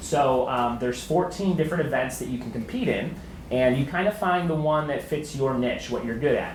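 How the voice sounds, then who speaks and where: Over music in the background and audible room echo, a man with a Chicago accent talks with lively intonation. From Chicago, south side. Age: 30s. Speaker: podcast host and comedian. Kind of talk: talk to a student group.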